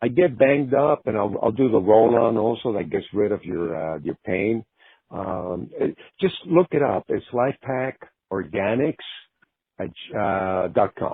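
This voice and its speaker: At a fairly slow pace, a man talks with lively intonation in an unremarkable speaking voice. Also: medium pitch for a man. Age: 60s. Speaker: rock guitarist. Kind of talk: casual chat.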